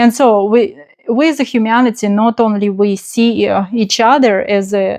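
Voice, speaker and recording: Her pace is very slow, with a non-native accent. This woman's intonation is monotone and flat. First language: not English. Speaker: spiritual channel host. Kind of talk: spontaneous spiritual talk. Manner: halting, many fillers.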